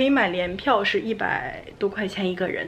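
A woman talks with ordinary pitch variation. Light background noise can be heard. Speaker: travel vlogger. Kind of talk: casual vlog chat. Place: home room. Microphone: phone near.

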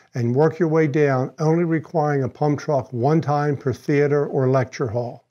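A man's fairly high voice with a slightly mellow tone.

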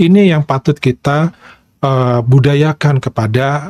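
A man with an Indonesian accent speaks in a fairly high pitch for a man, with ordinary pitch variation and a somewhat breathy voice, the sound dry with no echo over a quiet background. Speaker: reaction video host; reaction channel host. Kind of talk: video commentary. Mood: calm, explanatory. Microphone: lapel.

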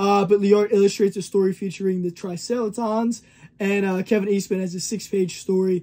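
Speaking at a moderate pace, a man uses a high pitch and a dark, mellow tone with monotone, flat intonation. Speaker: comic collector. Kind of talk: casual review talk. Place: shop.

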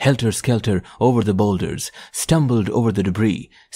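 The text is read aloud in a natural voice whose pitch varies in an ordinary way.

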